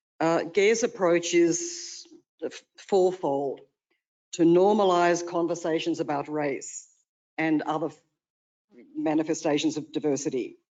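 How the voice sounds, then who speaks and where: A very slow delivery in an Australian accent. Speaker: consultant presenting to city commission. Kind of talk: presentation at public meeting. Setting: city commission meeting.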